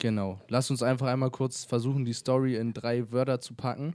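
A man's slightly mellow, medium-pitched voice with little pitch movement, on a very clean recording with a silent background. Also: fairly quick pace.

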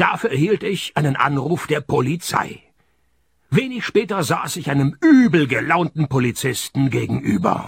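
Putting on a character voice, a man speaks at a fairly high pitch and a moderate pace, with vocal fry, a slightly husky edge and big pitch swings.

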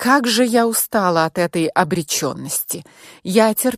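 A natural voice, reading aloud

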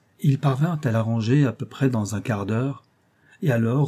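Pitch varies in an ordinary way through the unforced reading.

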